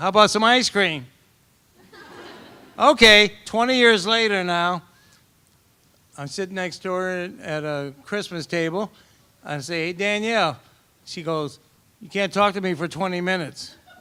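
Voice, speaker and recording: A man speaks at a moderate pace in a high pitch, with ordinary pitch variation, big swings in loudness and long, frequent pauses. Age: old. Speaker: father of the bride. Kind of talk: wedding toast. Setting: wedding reception with audience. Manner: halting.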